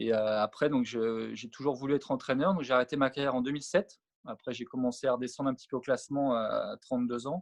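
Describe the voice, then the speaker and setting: The sound is dry and close with no echo as a man of medium pitch talks very fast with fairly even intonation. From France, Savoie (Alps). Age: 40s. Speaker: former pro tennis player and coach. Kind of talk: interview. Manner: halting, many fillers.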